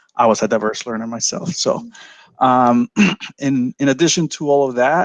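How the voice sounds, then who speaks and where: In a Spanish accent, a man of medium pitch speaks at a fairly slow pace with ordinary pitch variation, the sound dry and close with no echo. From El Salvador. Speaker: school council candidate. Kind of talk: candidate speech.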